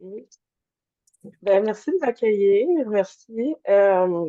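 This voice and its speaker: Very slow, dark, mellow speech from a woman at medium pitch, with ordinary pitch variation. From Montreal, Canada, Polish immigrant family. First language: Polish (speaking French). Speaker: naturopath, energy healer. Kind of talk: interview testimony. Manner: hesitant, many fillers.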